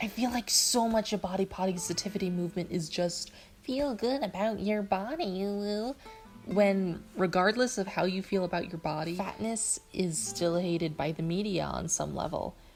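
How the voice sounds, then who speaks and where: Music plays in the background. The speaker talks at a moderate pace with ordinary pitch variation. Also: woman, medium pitch for a woman. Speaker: digital artist. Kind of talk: speedpaint voiceover commentary.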